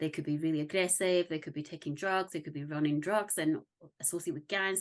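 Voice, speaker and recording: Very fast speech with a slight Scottish accent and fairly even intonation over a quiet background. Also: woman. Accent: slight Scottish on some words. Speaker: parenting consultant. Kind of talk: interview.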